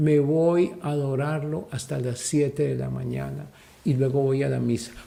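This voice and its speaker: Audible room echo surrounds a man with a dark, mellow tone. He talks at a moderate pace with ordinary pitch variation. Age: 60s. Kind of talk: sermon. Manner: animated.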